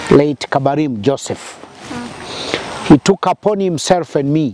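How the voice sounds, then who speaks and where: A man talks at a fairly slow pace. The sound is dry with no echo, over light background noise. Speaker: interviewee. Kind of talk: interview answer. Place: open country.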